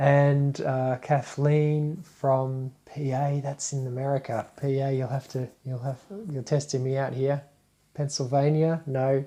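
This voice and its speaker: Someone speaks at a fairly slow pace in an Australian accent. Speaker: spiritual teacher. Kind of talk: live stream talk. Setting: live Facebook broadcast. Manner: casual, hesitant with fillers.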